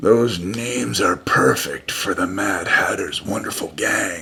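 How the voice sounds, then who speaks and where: Using a put-on character voice, a man sounds raspy with a fairly low pitch and a fairly slow pace. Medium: read story. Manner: calm, serious.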